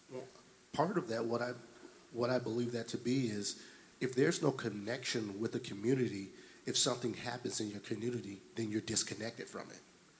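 Somewhat breathy, a man with an American accent speaks at a medium pitch. His pace is fairly quick and his intonation fairly even. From Detroit, Michigan. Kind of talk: panel discussion.

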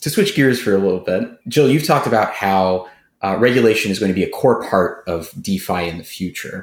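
A man with an unremarkable speaking voice talks at a fairly quick pace in a fairly low pitch, his intonation lively, on a very clean recording with a silent background. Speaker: co-host. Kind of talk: casual interview chat.

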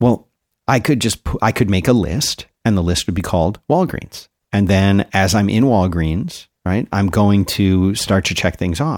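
In an ordinary speaking voice, the speaker goes at a fairly slow pace with ordinary pitch variation, on a very clean recording with a silent background and a dry, close sound with no echo. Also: man, fairly low pitch for a man. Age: 50s. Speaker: podcast co-host. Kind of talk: casual chat.

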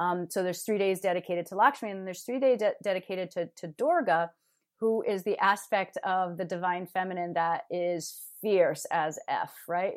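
On a very clean recording with a silent background, a woman of medium pitch speaks at a moderate pace with an American accent. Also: ordinary pitch variation. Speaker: yoga teacher and mental health counselor. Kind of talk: casual interview conversation.

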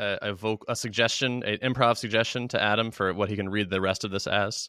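A man's ordinary speaking voice, fairly low-pitched and fairly quick, with fairly even intonation. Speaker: podcast host. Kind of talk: casual interview.

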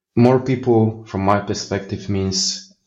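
Somewhat breathy, a man with a Polish accent speaks at a moderate pace in a fairly low pitch with fairly even intonation. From Poland. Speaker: software architect. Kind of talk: interview.

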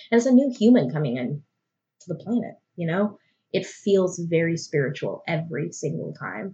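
The voice is somewhat breathy and swings very widely in pitch. It moves at a moderate pace. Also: woman, fairly low pitch for a woman. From Arkansas, Little Rock (army brat, moved around). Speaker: birth photographer. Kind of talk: casual interview.

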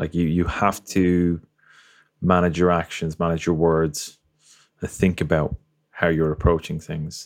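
With an Irish accent, the speaker uses monotone, flat intonation at a fairly slow pace with long, frequent pauses on a very clean recording with a silent background. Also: man, very deep, low pitch for a man. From Ireland. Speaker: podcast host and photographer. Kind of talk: interview conversation.

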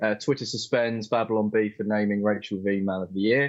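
Against a quiet background, a man with an English accent and a medium-pitched voice speaks at a fairly quick pace. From England. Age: young. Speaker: co-host. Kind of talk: live stream political chat. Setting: video call.

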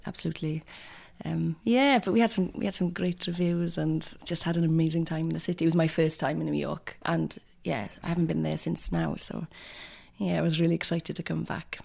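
A woman with a West Wales accent talks at a fairly quick pace. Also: very clean recording, silent background. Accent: West Wales Welsh. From Wales, North Pembrokeshire. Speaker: actor and writer. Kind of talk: casual chat.

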